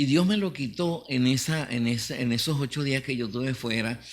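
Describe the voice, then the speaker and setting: Recorded very cleanly with a silent background, a man of medium pitch speaks at a moderate pace with ordinary pitch variation. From Venezuela, Mérida Andes. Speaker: pastor. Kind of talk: testimony. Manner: halting, many fillers.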